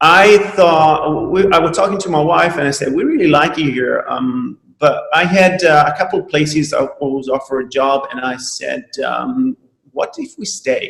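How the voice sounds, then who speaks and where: A man with an Italian accent talks at a moderate pace. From Italy. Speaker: chiropractor. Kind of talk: webinar talk. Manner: halting, many fillers.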